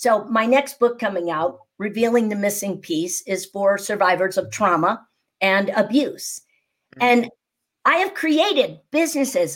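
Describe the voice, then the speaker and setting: In a very clean recording with a silent background, a woman with a fairly high pitch and an unremarkable speaking voice talks at a moderate pace. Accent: American. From US Midwest, Naperville near Chicago. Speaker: speaking coach and entrepreneur. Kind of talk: podcast interview.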